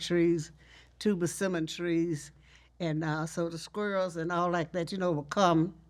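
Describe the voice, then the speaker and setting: A woman with a Texas accent talks at a moderate pace in a fairly low pitch, her intonation monotone and flat. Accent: Southern US (Texas). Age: 80s+. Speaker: storyteller, teacher, family historian. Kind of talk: interview answer.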